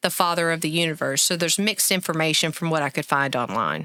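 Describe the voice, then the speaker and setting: A woman with an Arkansas accent talks at a fairly quick pace, her pitch fairly low and her tone bright and sharp. The recording is very clean, with a silent background. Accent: Arkansas twang. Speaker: podcast co-host. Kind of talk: casual chat.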